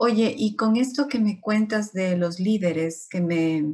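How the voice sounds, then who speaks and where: A woman talks in a somewhat breathy voice of medium pitch. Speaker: interviewer. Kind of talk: interview host talk.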